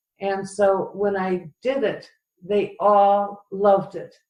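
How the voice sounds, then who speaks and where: A woman with an American accent speaks at a very slow pace in a medium-pitched voice. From US Midwest, Cleveland, Ohio. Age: 70s. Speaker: retired professor turned entrepreneur. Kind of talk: interview. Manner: halting, many fillers.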